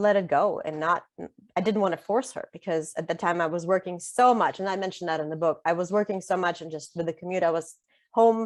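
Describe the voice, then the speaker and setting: In a Russian accent, a woman at medium pitch talks fairly quickly with ordinary pitch variation. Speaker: author. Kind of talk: interview conversation. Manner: frequent filler ums.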